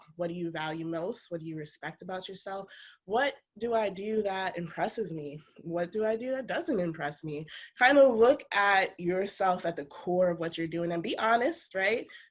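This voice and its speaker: On a very clean recording with a silent background, a woman with a plain, everyday voice speaks at a medium pitch and a moderate pace, with lively intonation and big swings in loudness. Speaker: workshop presenter. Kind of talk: workshop talk. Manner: casual.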